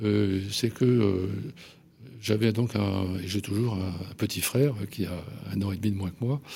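A man's fairly low, fairly even voice at a very slow pace, broken by long, frequent pauses. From Paris, France. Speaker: journalist and essayist. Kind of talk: radio interview. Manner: halting, many hesitations.

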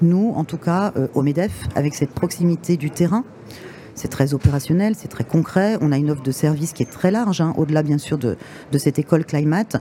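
Against noticeable background noise, a woman with a very deep, low pitch talks at a fairly quick pace with ordinary pitch variation. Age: 50s. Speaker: director of business schools. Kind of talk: interview. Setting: trade fair radio stand.

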